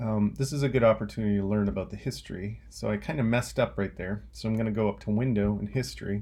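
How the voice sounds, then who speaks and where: The background is silent and the recording very clean. A man's voice is heard. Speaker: teacher. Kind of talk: tutorial. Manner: slow; casual.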